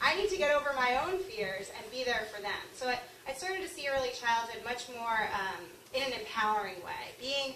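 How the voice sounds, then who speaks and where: Loud and high-pitched, a woman speaks at a fairly quick pace with an American accent. Her pitch swings very widely, and audible room echo surrounds her. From Long Island, New York. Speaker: author and early childhood teacher. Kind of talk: speech. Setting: luncheon talk with audience and microphone.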